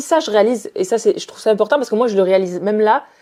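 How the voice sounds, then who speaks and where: A woman talks at a very fast pace, her intonation lively. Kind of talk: casual chat.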